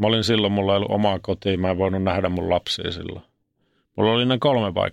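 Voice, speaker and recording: With fairly even intonation, a man speaks at a fairly low pitch in an unremarkable speaking voice. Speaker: former ice hockey player and reality show contestant. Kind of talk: interview about mental health. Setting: studio. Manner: casual colloquial.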